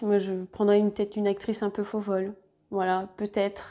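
A woman speaks with a dark, mellow tone over a quiet background. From France, Côte-d'Or (Burgundy). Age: 30s. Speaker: sewing YouTuber. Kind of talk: casual vlog monologue. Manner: hesitant, many fillers. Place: home room. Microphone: lapel.

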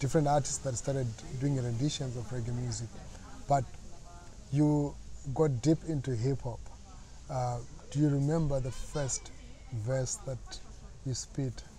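Pausing long and often, a man speaks at medium pitch and a moderate pace with fairly even intonation. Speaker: interviewer, show host. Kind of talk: interview. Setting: in-person interview.

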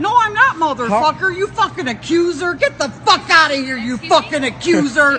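A raised, projected voice shouts at a moderate pace with hardly any pauses and very wide pitch swings over light background noise. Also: woman, high pitch for a woman. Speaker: shopper. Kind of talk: heated argument with strangers. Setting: inside a store. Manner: yelling, enraged. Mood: hostile, religious ranting. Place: shop.

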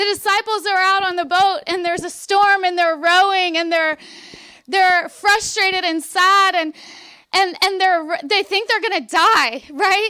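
A raised, projected voice with a bright, sharp tone and ordinary pitch variation moves at a fairly slow pace against a quiet background. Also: woman, extremely high pitch for a woman. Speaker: preacher delivering a sermon. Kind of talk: Baptist revival sermon; preaching to a congregation. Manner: conversational, animated, emphatic. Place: tent. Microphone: handheld.

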